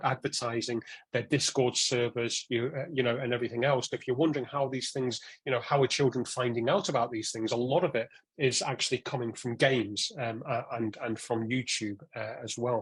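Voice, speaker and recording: At a fairly quick pace, a man talks in a medium pitch with fairly even intonation. His voice is somewhat breathy. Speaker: online safety speaker. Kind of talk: talk to parents. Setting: evening talk with live audience. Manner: frequent repetitions and hesitations.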